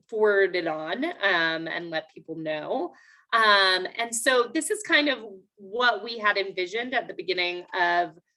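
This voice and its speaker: At a fairly slow pace, a woman with a medium pitch and lively intonation speaks in a plain, everyday voice. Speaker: city parks planner presenting at public meeting. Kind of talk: public meeting presentation. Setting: video call. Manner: many filler words, um.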